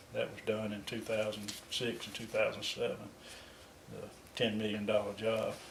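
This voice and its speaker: This man takes a fairly slow pace. He talks with a Southern US accent. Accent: Southern American. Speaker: retired water utility worker. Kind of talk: interview answer.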